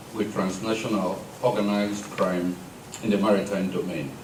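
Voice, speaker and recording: A man speaks at a fairly slow pace, with audible room echo and noticeable background noise. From Nigeria. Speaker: maritime security official. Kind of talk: formal speech. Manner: formal.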